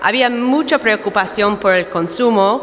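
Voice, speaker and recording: A woman talks at a moderate pace in a fairly high pitch. Noticeable background noise runs underneath. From United States. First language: English (speaking Spanish). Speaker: dairy market analyst. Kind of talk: conference talk.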